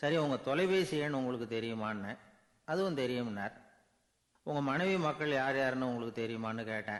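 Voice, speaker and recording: Ordinary pitch variation runs through this man's speech. His voice sits at a medium pitch. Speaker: orator, radio presenter. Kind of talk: storytelling speech with anecdotes. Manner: simple colloquial, conversational.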